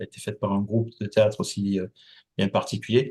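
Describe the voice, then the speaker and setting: A man's fairly low voice in a southern French accent, monotone and flat, at a fairly quick pace, with a quiet background. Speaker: company founder and association president. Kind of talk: interview. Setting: podcast. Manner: hesitant, many fillers.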